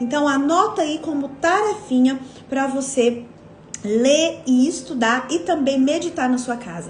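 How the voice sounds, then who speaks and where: A woman with a high-pitched voice and lively intonation talks amid noticeable background noise and audible room echo. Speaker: women's devotional leader. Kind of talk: devotional teaching live stream. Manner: casual, conversational.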